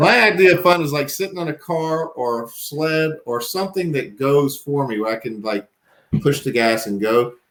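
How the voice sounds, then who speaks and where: A man talks at a moderate pace. His pitch is fairly high and his intonation lively. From US South, Danville, Virginia. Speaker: firearms industry employee. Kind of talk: casual podcast chat.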